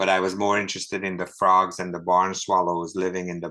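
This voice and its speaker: With a Hungarian accent, a man speaks at a moderate pace in a very deep, low pitch, his tone bright and sharp and his intonation flat and monotone. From Hungary. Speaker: ornithologist and book author. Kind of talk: author talk.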